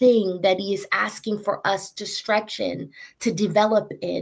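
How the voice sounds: Delivered in a natural reading voice, the speech carries fairly even intonation.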